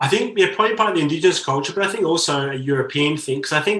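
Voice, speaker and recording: This man's voice is fairly high-pitched. Its tone is bright and sharp. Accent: Australian. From Australia. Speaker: novelist. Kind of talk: interview conversation.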